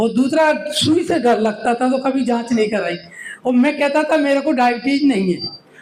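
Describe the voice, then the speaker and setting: Background noise is noticeable behind a man's voice. He speaks at a moderate pace with an extremely high pitch. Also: ordinary pitch variation. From Madhya Pradesh, India. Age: 70s. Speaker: retired government official, diabetes awareness volunteer. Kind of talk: speech at a meeting.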